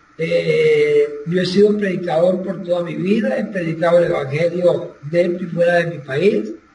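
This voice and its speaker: A man speaks in a high voice with ordinary pitch variation. Audible room echo and light background noise are present. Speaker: former pastor. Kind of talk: personal testimony. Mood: earnest, somber. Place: home room. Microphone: video call.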